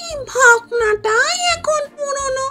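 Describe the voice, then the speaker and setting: Over loud music in the background, a female-sounding voice puts on a character voice at an extremely high pitch. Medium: audio drama. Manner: lively, chatty.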